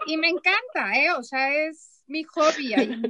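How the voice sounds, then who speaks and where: A raised, projected voice carries a bright, sharp tone. It moves at a fairly slow pace with ordinary pitch variation. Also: woman. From Mexico, Chihuahua. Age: 40s. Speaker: therapist and former teacher. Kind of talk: casual chat.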